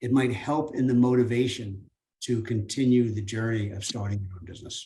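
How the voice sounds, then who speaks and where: Somewhat breathy, dark and mellow tone from a man at medium pitch, fairly quick pace, and fairly even intonation. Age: 70s. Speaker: business speaker, franchise owner. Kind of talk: seminar talk. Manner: halting, with repetitions and fillers.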